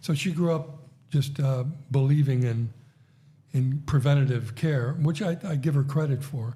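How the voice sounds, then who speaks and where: A man's fairly high, somewhat breathy voice with a dark, mellow tone, moderate pace and fairly even intonation. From United States. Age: 60s. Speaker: podcast host. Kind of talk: casual chat.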